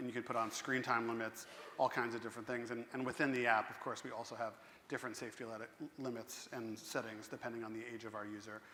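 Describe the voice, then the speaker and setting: A man with an American accent speaks very fast at medium pitch, in a monotone, flat delivery. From US Northeast, Central New Jersey. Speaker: tech company representative on a panel. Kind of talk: conference panel discussion. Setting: stage with audience.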